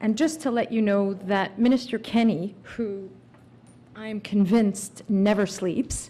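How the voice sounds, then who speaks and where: Her voice medium in pitch, dark, mellow and somewhat breathy, a woman speaks at a fairly slow pace with ordinary pitch variation. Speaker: immigration lawyer. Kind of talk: conference talk.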